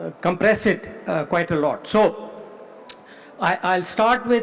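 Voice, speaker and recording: A man speaks in a high pitch. Noticeable background noise runs behind him. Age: 70s. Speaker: economist. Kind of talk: conference keynote speech. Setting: conference hall with audience. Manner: halting, many fillers.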